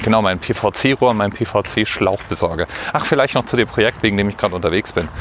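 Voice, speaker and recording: With noticeable background noise behind him, a man speaks at a fairly quick pace in a fairly low voice with ordinary pitch variation. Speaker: podcaster. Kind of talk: solo walking monologue podcast. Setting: outdoors, walking through the city. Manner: casual, slightly halting.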